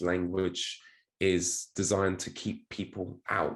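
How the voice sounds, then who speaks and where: A man speaks in a British accent with a very deep, low pitch. His pace is fairly slow. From United Kingdom. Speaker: crypto marketing executive and speed reading coach. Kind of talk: podcast interview.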